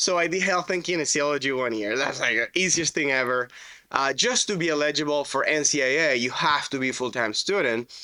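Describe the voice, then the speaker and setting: Using a fairly high pitch and a bright, sharp tone, a man with a Spanish accent speaks at a fairly quick pace with very even loudness and ordinary pitch variation. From Venezuela. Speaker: roofing contractor. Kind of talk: podcast interview. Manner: casual, animated storytelling.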